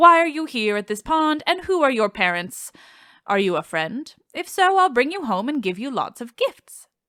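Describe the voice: Putting on a character voice, a woman speaks at a moderate pace in a high, guttural voice with very wide pitch swings, in a very clean recording against a silent background.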